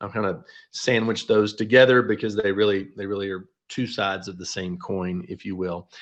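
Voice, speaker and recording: Over a quiet background, a man speaks in a normal speaking voice at a fairly low pitch, with fairly even intonation and big swings in loudness. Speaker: financial advisor, company founder. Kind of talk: webinar presentation. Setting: online webinar.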